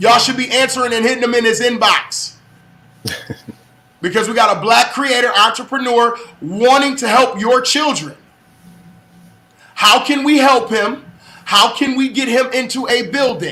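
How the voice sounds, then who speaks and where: Over noticeable background noise, a raised, projected voice moves at a moderate pace with ordinary pitch variation and long, frequent pauses. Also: man, extremely high pitch for a man. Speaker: livestream show host. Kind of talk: live-streamed interview. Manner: loud; animated.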